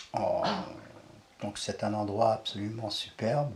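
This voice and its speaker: Over noticeable background noise, a man talks at a very slow pace with a fairly low pitch and ordinary pitch variation. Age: 70s. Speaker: eco-village resident. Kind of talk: casual interview.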